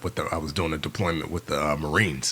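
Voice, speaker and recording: Very deep, low speech from a man over noticeable background noise. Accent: New York. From New York City, the Bronx. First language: Yoruba. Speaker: former navy SEAL and filmmaker. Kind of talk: casual interview chat. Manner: animated, fast with many fillers.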